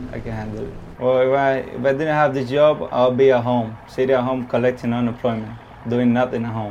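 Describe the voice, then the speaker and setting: The voice moves at a fairly quick pace with monotone, flat intonation. Audible room echo and noticeable background noise are present. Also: man, medium pitch for a man. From Cuba. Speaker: tugboat driver. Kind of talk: casual interview. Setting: inside a tugboat.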